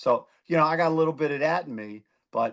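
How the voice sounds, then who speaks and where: A speaker with a Philadelphia accent talks at a fairly quick pace with lively intonation. The background is quiet. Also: man. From Philadelphia, US. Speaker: former judge, district attorney candidate. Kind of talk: interview.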